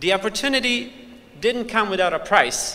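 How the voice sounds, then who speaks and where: A man's lively intonation in a Bosnian accent, with audible room echo. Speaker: student speaker at graduation. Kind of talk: commencement speech. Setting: convention center stage with audience.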